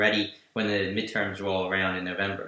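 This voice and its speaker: A man with a New Jersey accent at a fairly quick pace. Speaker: political news podcast host. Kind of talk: live stream political chat.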